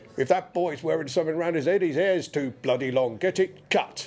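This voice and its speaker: Putting on a character voice, a man booms at a fairly high pitch. He moves at a fairly quick pace with ordinary pitch variation. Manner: stern, scolding.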